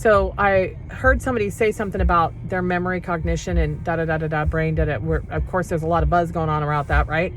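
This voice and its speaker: A woman talks very fast amid noticeable background noise and audible room echo. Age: 50s. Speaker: health product distributor. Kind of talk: testimony. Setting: in a parked car. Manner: conversational, unscripted.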